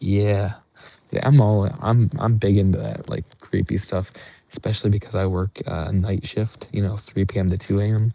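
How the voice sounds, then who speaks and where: A man whispers at a moderate pace. His voice is somewhat breathy. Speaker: hunting live streamer. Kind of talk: live stream chat with viewers. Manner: near whisper.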